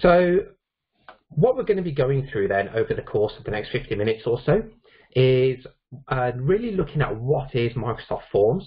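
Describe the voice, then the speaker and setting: Lively intonation runs through a man's medium-pitched voice. He sounds somewhat breathy. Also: moderate pace. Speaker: IT consultant and trainer. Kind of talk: technical presentation.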